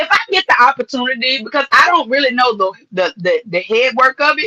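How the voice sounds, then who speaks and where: In a Louisiana accent, a woman with a high pitch projects her raised voice at a fairly quick pace with lively intonation, the sound dry and close with no echo. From Louisiana, rural. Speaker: model and actress. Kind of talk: casual interview chat.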